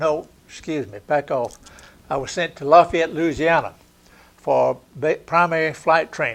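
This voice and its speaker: Fairly high for a man, this voice moves at a fairly slow pace with a Southern US accent. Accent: Southern US (Georgia). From Georgia, US South. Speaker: war veteran. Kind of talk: oral history interview.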